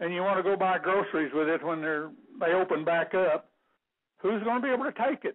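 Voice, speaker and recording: Speaking at a fairly quick pace with a Texan accent, a man talks at a high pitch with ordinary pitch variation. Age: 70s. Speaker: caller, retired rancher. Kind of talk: radio call-in talk.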